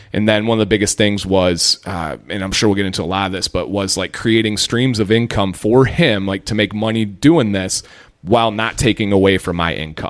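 Fairly low in pitch, a man with an American accent talks at a fairly quick pace with hardly any pauses. It is an ordinary speaking voice with ordinary pitch variation. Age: 30s. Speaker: former teacher turned YouTuber. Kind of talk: casual chat.

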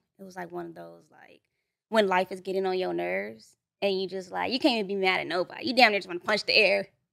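A woman with a Los Angeles accent talks at a very fast pace, her loudness rising and falling sharply. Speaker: content creator and aspiring rapper. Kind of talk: casual podcast interview. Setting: studio.

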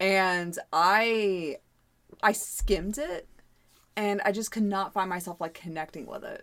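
A woman with an American accent and a plain, everyday voice speaks at a medium pitch and fairly slow pace, her intonation fairly even but her loudness swinging widely. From US. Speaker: podcast co-host. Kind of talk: casual chat.

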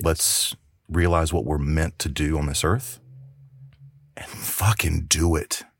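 Very deep and low, a man's voice with an American accent drags at a very slow pace with vocal fry, ordinary pitch variation, and long, frequent pauses. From US South. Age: 40s. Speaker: actor and filmmaker. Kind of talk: casual podcast interview.

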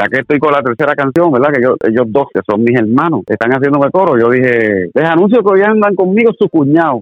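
Pitch swings very widely as a man talks fairly quickly at a fairly high pitch, his loudness staying very even throughout. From Puerto Rico, Corozal. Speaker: singer. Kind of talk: interview. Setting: phone call.

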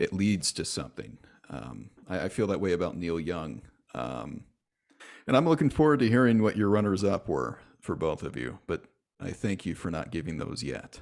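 With vocal fry and a very deep, low pitch, a man talks at a moderate pace while his pitch swings very widely. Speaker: podcast host. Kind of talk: casual chat. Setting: video call. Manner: animated.

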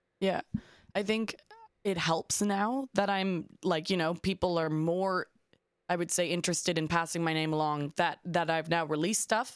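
A woman with a Canadian accent speaks in an ordinary speaking voice at a moderate pace, fairly low in pitch with ordinary pitch variation. Her loudness is very even, and the sound is dry and close with no echo. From Canada, Toronto. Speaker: singer-songwriter. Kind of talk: casual chat.

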